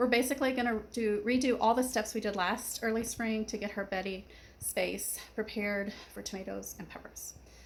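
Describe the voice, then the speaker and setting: A woman speaks at a moderate pace with a fairly high pitch. Her voice has vocal fry and ordinary pitch variation. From Kentucky. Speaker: gardening vlogger. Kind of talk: casual vlog talk.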